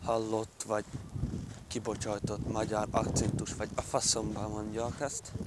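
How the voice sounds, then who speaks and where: Over noticeable background noise, a man speaks at a fairly slow pace. His pitch is fairly low and his intonation monotone and flat. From southern Slovakia, Hungarian minority (Palóc area). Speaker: vlogger. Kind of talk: casual vlog monologue. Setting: outdoors, walking along a dam. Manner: casual, hesitant with fillers.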